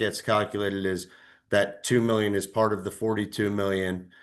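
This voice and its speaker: Against a quiet background, a man talks at a fairly quick pace. His fairly low voice stays monotone and flat. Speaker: municipal auditor. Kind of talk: presentation at a public meeting. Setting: township committee meeting. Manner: usually very loud.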